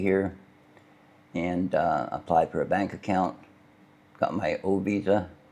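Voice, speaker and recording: This man has a very deep, low pitch, a dark, mellow and relaxed tone, and monotone, flat intonation at a moderate pace. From Canada. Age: 70s. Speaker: retiree vlogger. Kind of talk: casual vlog talk. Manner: relaxed, with many hesitations.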